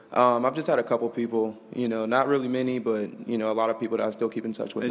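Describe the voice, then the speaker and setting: With an American accent, a man of medium pitch talks very fast in a monotone, flat intonation. Noticeable background noise is present. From Mesquite, Texas. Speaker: college football player, interview guest. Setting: live studio audience on campus.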